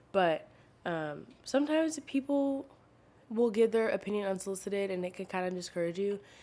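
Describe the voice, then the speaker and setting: Soft-spoken, a woman talks in a dark, mellow tone. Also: medium pitch for a woman, fairly quick pace. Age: 20s. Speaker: podcast host. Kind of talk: casual chat. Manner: quiet, soft-spoken; casual, many fillers.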